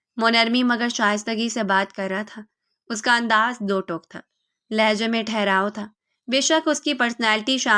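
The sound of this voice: Quiet surroundings behind an unforced reading voice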